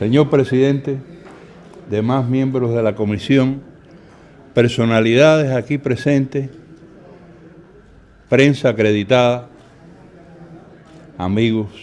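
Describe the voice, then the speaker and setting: A man at a medium pitch and moderate pace, with ordinary pitch variation and long, frequent pauses. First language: Spanish. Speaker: witness, relative of massacre victims. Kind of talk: formal testimony.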